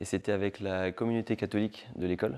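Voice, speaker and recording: In a very clean recording with a silent background, a man speaks at a moderate pace in a fairly low pitch. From Paris region, northern suburbs (France). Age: 20s. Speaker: assistant pastor and refugee charity volunteer. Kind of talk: testimony interview. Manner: casual, hesitant with frequent fillers.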